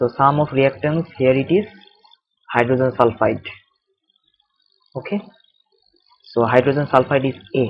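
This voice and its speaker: With a Bengali accent, a man of medium pitch speaks at a moderate pace with ordinary pitch variation and long, frequent pauses. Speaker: chemistry tutor. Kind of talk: tutorial. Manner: halting.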